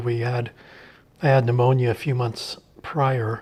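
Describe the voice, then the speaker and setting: A somewhat breathy man with a medium pitch speaks in a monotone, flat way at a moderate pace. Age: 60s. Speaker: lung transplant and cancer survivor. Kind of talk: testimony.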